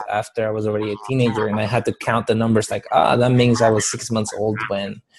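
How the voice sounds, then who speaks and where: A man talks in a Spanish accent. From Guatemala. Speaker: motivational speaker and author. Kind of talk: interview storytelling.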